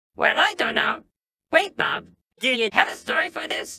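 This cartoonish character voice is high and squeaky, moving at a moderate pace. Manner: goofy, easygoing.

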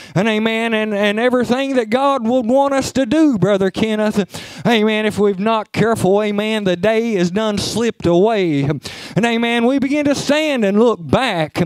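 A man with an Appalachian accent speaks at a high pitch and moderate pace, with ordinary pitch variation, very even loudness and hardly any pauses. Noticeable background noise runs under the recording. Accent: Appalachian Kentucky. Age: 40s. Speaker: preacher. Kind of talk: sermon. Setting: church.

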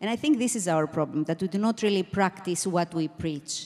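This is a woman's voice. Her intonation is lively. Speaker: panelist. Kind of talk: panel discussion answer. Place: stage. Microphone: handheld.

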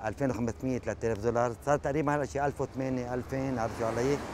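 A man's unremarkable speaking voice at a medium pitch and moderate pace, with ordinary pitch variation. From Lebanon. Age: 50s. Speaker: taxi driver and carpenter. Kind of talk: personal testimony interview.

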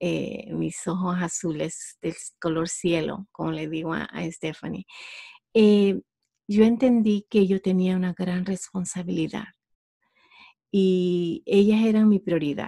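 A woman speaks very slowly with a Honduran accent. Her tone is dark and mellow, her pitch is medium, and her intonation stays fairly even. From Honduras. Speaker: entrepreneur. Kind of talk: interview. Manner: halting.

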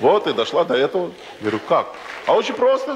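A man speaks at a fairly quick pace with light background noise behind him. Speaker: stand-up comedian. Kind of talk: comic monologue storytelling. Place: stage. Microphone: handheld.

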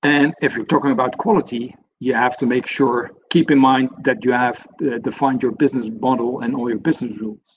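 With a Dutch accent, a man talks at a very fast pace and medium pitch over light background noise. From Netherlands. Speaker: senior software consultant; webinar presenter. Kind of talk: webinar presentation. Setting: online webinar. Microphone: video call.

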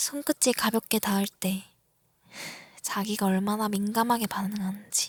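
At a very slow pace, a woman speaks in a playful tone with a fairly high pitch and ordinary pitch variation. Her voice is somewhat breathy, in a dry, close sound with no echo. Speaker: ASMR creator. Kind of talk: ASMR roleplay, girlfriend teasing her younger boyfriend in a whisper. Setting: roleplay for a listener, close-mic. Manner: whispery, close-mic, breathy, teasing and playful, with soft laughs; slow, intimate pacing, flustered and pleading toward the end.

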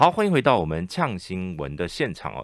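A man speaks at a moderate pace with a Taiwanese accent and some vocal fry. The sound is dry with no echo, over a quiet background. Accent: Taiwanese Mandarin. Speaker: radio host. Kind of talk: radio interview. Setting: studio. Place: studio. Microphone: studio mic.

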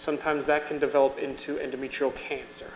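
A man with an American accent over light background noise. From Long Island, New York; New York. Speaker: physician; physician lecturer. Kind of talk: lecture. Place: hall. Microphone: podium.

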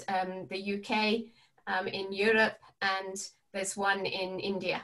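Against a quiet background, a woman talks at a very slow pace. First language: English (speaking Spanish). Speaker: palliative care educator. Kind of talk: webinar presentation. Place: home room. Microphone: webcam.

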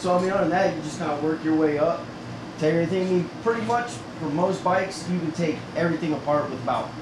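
A man talks at a fairly quick pace with ordinary pitch variation, noticeable background noise and audible room echo. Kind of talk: tutorial. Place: garage. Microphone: camera far.

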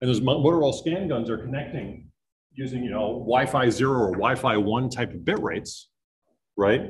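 Somewhat breathy, a man with a New England accent speaks at medium pitch amid audible room echo. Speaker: network systems engineer. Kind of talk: conference talk. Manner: fast; energetic.

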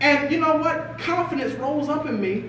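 This man's voice is extremely high in pitch, with an animated tone and ordinary pitch variation. Light background noise and audible room echo are present. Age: 20s. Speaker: motivational speaker. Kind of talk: motivational talk to an audience. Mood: earnest, confessional. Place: meeting room. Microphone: camera far.

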